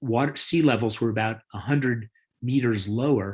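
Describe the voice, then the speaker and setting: A man talks at a medium pitch with ordinary pitch variation. The background is quiet. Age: 60s. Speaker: biology professor and author. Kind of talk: lecture. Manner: halting, many fillers.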